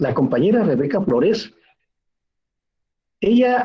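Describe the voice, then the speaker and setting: A man's dark, mellow voice with very wide pitch swings, a fairly slow pace and a quiet background. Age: 60s. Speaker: teacher. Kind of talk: lecture.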